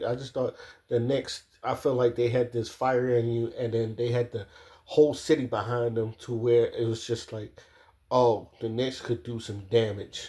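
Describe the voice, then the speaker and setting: In an American accent, a man talks at medium pitch with a dark, mellow tone that is somewhat breathy. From Maryland, US. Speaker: sports commentator. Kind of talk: casual monologue.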